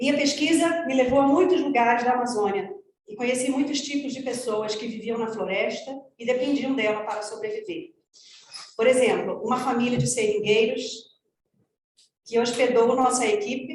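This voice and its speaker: A woman speaks very fast at a high pitch with ordinary pitch variation and big swings in loudness, with audible room echo. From Brazilian Amazon. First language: Portuguese. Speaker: ecologist. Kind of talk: conference presentation. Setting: conference, in person and online.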